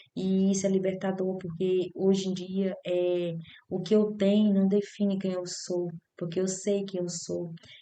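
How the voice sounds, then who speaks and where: A woman speaks with monotone, flat intonation, and audible room echo surrounds her voice. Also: medium pitch for a woman, fairly slow pace. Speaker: spiritual vlogger. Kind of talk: personal testimony. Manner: halting.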